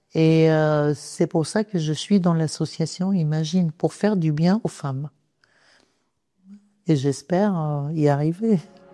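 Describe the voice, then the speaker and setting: A woman with a very deep, low pitch and a dark, mellow tone speaks at a very slow pace, with ordinary pitch variation and long, frequent pauses. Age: 60s. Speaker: cancer survivor, patient advocate. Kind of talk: testimony. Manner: hesitant, many fillers.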